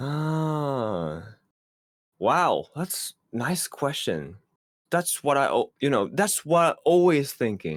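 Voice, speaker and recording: In a Japanese accent, the speaker talks at a very slow pace on a very clean recording with a silent background. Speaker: esports commentator. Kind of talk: interview answer.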